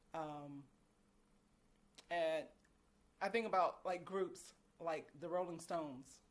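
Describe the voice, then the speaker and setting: Pausing long and often, a woman with a fairly low pitch talks at a very slow pace with ordinary pitch variation. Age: 50s. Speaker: vlogger. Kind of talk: casual chat.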